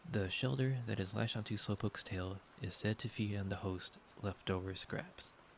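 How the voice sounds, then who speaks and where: This man has a fairly low pitch and a somewhat breathy voice. His pace is moderate, with ordinary pitch variation. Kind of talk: sleep aid ASMR reading of game encyclopedia entries.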